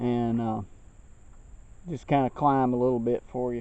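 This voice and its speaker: Over noticeable background noise, a man speaks at a medium pitch in a monotone, flat intonation. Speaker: tree climbing hobbyist demonstrating gear. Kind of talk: tutorial. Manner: loud. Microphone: camera's built-in mic, picks up poorly.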